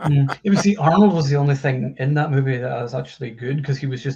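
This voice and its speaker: A man's medium-pitched voice at a very fast pace with ordinary pitch variation. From Scotland. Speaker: film website writer. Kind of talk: casual chat.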